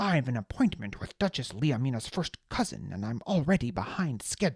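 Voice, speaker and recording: A man's put-on character voice, medium in pitch, with very wide pitch swings. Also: fairly quick pace. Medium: read story. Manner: curt, impatient, unintimidated.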